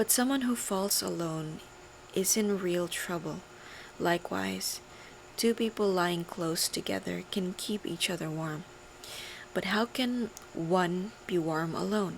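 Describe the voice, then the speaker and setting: A soft-spoken woman's fairly slow speech, with ordinary pitch variation and long, frequent pauses. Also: fairly low pitch for a woman. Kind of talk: ASMR scripture reading.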